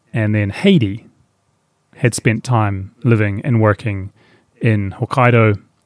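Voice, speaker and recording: Recorded dry and close with no echo, a man with a New Zealand accent speaks very slowly in a fairly low voice. He leaves long, frequent pauses. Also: fairly even intonation. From New Zealand, far south of the South Island. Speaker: outdoor guide website creator. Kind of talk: interview conversation.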